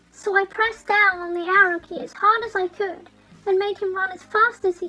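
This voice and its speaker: With music in the background, a woman with a British accent uses a raised, projected voice at an extremely high pitch, her loudness swinging widely. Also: ordinary pitch variation, moderate pace. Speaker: media reviewer. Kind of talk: dramatic reading of horror fan fiction. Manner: dramatic.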